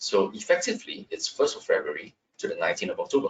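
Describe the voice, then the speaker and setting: At a fairly quick pace, a man is speaking. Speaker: construction law expert, webinar presenter. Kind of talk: webinar presentation. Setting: online webinar. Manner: fast.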